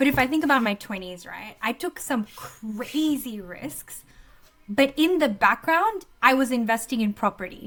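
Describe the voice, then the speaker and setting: With an Australian accent, a woman talks at a fairly slow pace and a high pitch, using lively intonation and big swings in loudness. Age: 30s. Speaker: coach and entrepreneur. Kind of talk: podcast interview. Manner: animated.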